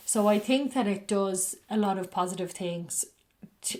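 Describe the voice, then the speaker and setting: Speaking at a fairly slow pace, a woman with a medium-pitched voice talks with an Irish accent. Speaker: spiritual podcast host reading books aloud. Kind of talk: casual reflective commentary after a reading; slow, careful book reading. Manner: slowed down, carefully enunciated when reading.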